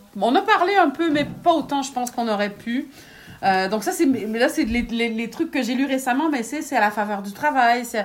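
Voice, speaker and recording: Lively intonation marks a woman speaking at high pitch. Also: moderate pace. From Quebec. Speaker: writer. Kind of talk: interview. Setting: at home.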